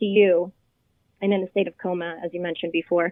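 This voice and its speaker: Flat, monotone intonation with a Spanish accent. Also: woman. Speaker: childhood cancer survivor and hospital volunteer. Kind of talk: interview.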